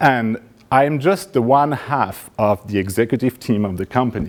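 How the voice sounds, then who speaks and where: A man is speaking. His pitch is medium and his pace fairly slow. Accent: French. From France, Paris. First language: French. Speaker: startup founder. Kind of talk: pitch presentation.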